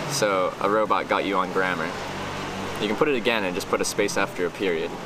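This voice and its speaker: Noticeable background noise accompanies a man whose voice sounds dry, with no echo. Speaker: live streamer. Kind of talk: casual stream chat reading. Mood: relaxed, amused. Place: street. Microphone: phone near.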